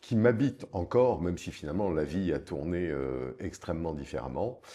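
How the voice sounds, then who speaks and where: Vocal fry runs through a man's dark, mellow tone as he speaks at a fairly slow pace. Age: 60s. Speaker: film producer and investor. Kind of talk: interview conversation. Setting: office.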